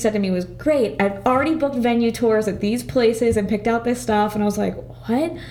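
A woman at a fairly quick pace, lively in intonation, against noticeable background noise. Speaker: podcast guest. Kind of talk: casual chat. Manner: excitable.

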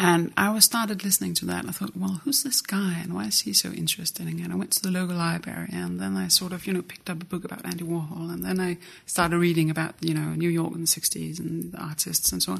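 With a Danish accent, a woman speaks at a very fast pace with hardly any pauses. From Jutland, Denmark. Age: 30s. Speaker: art institution director. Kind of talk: casual interview chat.

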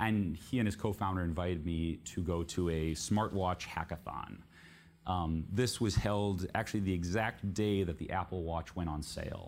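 With a Californian accent, a man talks at a moderate pace in a very deep, low pitch with fairly even intonation. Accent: General American (California). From US, San Francisco Bay Area. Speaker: journalist and author. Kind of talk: book talk to live audience.

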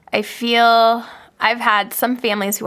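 There is vocal fry in this woman's voice. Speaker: podcast host, speech-language pathologist. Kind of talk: casual chat, interview.

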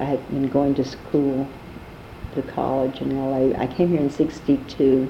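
A woman with an American accent speaks at a very slow pace in a very deep, low pitch, with noticeable background noise behind her. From New York City, Harlem. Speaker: jazz singer and actress. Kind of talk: oral history interview.

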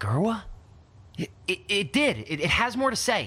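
A put-on character voice with a bright, sharp tone and a slightly husky edge swings very widely in pitch at a moderate pace. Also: man, high pitch for a man.

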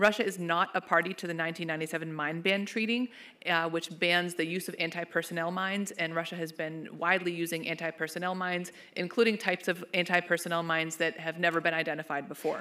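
A woman's bright, sharp tone at a fairly low pitch, very fast and monotone, flat in intonation, in a very clean recording with a silent background. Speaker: policy researcher. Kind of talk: panel presentation. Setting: stage with audience.

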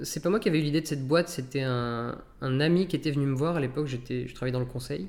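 This man speaks at a fairly quick pace in a medium pitch. He has a plain, everyday voice. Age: 30s. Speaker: startup founder and CEO. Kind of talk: interview.

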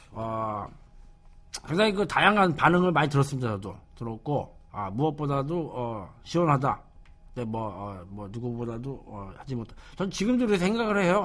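A man with a normal speaking voice talks at a moderate pace. His pitch is fairly high, and his intonation is lively. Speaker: radio show host. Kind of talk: casual radio talk. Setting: studio. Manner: casual, conversational.

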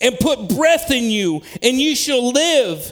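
A man's extremely high voice at a fairly slow pace, with music in the background. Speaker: preacher. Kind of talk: sermon. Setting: church. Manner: animated.

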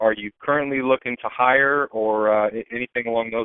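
An ordinary speaking voice with an American accent moves at a fairly quick pace. Pitch variation is ordinary. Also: man. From Tampa, Florida. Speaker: podcast host. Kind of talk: casual interview. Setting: phone call.

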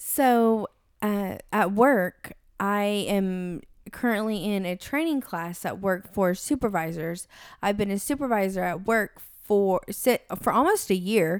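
On a very clean recording with a silent background, a woman in a plain, everyday voice speaks at a fairly slow pace, medium pitch and ordinary pitch variation. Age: 30s. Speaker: podcast co-host. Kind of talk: casual chat.

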